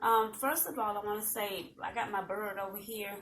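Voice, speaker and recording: In a Southern US accent, a woman speaks in a calm tone at a fairly high pitch. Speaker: talk show host. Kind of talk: casual chat. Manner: calm, subdued energy.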